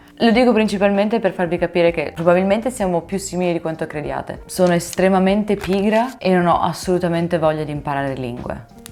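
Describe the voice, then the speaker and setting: Over noticeable background noise, a woman talks at a very fast pace with hardly any pauses and ordinary pitch variation. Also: fairly low pitch for a woman. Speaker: language-learning YouTuber. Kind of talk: casual vlog explainer. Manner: animated.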